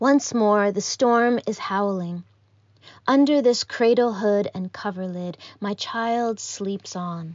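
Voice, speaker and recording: A woman speaks very slowly at a medium pitch. Her pitch variation is ordinary. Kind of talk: poetry reading (erasure poem).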